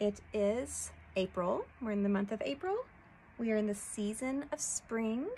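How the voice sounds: It is a natural reading voice.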